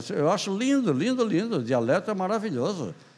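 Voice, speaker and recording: A man speaks with very wide pitch swings. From Santa Catarina, Brazil. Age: 80s+. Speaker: writer and poet. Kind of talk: interview answer.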